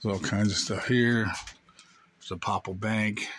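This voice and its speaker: A man speaks in a fairly low, monotone voice with flat intonation, the sound dry with no echo. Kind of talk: casual vlog chat. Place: shop. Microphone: phone near.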